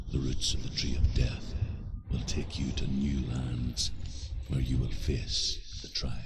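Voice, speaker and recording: A man puts on a character voice and talks at a fairly slow pace while loud noise runs in the background. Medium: video game. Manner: grave, measured.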